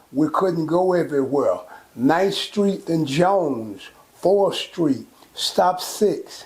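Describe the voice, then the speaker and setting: A high-pitched man at a very slow pace amid noticeable background noise. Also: ordinary pitch variation. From Texas, Fort Worth. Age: 70s. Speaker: local elder. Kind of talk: interview.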